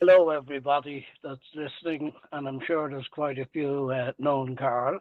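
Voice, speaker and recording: Speaking in a Dublin accent, a man with a fairly high pitch keeps a monotone, flat intonation at a moderate pace while his loudness swings widely. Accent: Dublin Irish. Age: 80s+. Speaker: retired tradesman and salesman. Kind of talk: interview. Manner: hesitant fillers.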